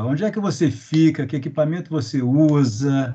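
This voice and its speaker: Against a quiet background, a man with a fairly high pitch speaks at a moderate pace in a somewhat breathy voice with a dark, mellow tone. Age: middle-aged. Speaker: interviewer. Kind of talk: interview. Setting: video call. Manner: halting. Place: home room. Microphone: video call.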